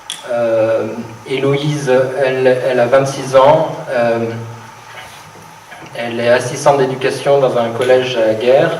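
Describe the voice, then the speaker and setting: Amid noticeable background noise and audible room echo, a man speaks at a fairly slow pace in a monotone, flat intonation at a medium pitch. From France, Brittany (Rennes). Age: 30s. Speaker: political activist speaking for a candidate. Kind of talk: political debate. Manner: halting, many hesitations.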